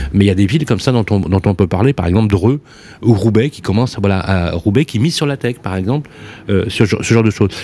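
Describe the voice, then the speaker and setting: With ordinary pitch variation, a man speaks at a very fast pace in a fairly low pitch. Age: 50s. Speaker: radio host. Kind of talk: radio talk show. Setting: studio. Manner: animated.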